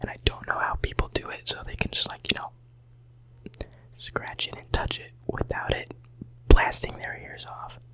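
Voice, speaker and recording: A man whispers at a moderate pace, with long, frequent pauses and big swings in loudness. Noticeable background noise runs underneath. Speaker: college student. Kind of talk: ASMR whispering video. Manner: whispered; relaxing, soft.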